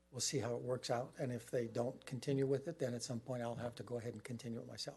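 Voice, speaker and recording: Very fast and monotone, a man speaks at a medium pitch with a dark, mellow, somewhat breathy tone and flat intonation. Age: 70s. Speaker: property owner at public meeting. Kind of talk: public comment at county meeting.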